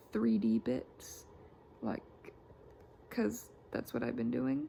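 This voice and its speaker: The voice has a dark, mellow tone and ordinary pitch variation. It moves at a very slow pace. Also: woman, very deep, low pitch for a woman. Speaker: book and art content creator. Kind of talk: casual draw-along chat. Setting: alone in bedroom. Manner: casual, rambling with fillers.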